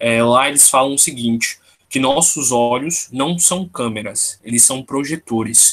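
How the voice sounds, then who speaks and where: An unremarkable speaking voice from a man, medium-pitched, with ordinary pitch variation. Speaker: tarot study group leader. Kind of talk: online study group lecture. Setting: video call.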